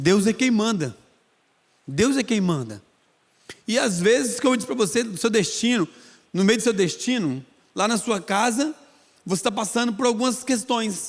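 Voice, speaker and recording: A high-pitched man with a Goiás accent uses lively intonation and leaves long, frequent pauses. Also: moderate pace. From Goiânia, Brazil. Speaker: preacher. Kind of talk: sermon.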